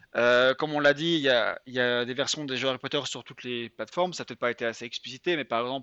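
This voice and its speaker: Talking very fast, a man at a medium pitch uses ordinary pitch variation. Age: 20s. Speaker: writer and video game journalist. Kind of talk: casual interview.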